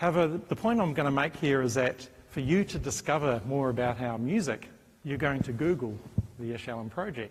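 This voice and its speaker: A man with a New Zealand accent speaks fairly quickly at a fairly high pitch, somewhat breathy and with lively intonation. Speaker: professor. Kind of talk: conference talk.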